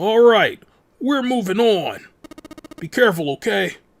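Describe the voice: A man's put-on character voice, high-pitched with vocal fry, at a fairly slow pace. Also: lively intonation.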